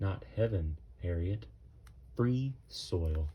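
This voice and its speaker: A man's put-on character voice, very deep and low in pitch. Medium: read story. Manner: calm, fatherly, reassuring.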